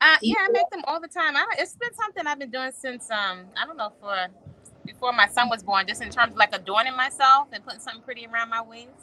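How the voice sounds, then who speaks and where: Over noticeable background noise, a woman talks at a very fast pace in a raised, projected voice, high in pitch with lively intonation and big swings in loudness. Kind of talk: casual chat. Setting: outdoors in a hammock.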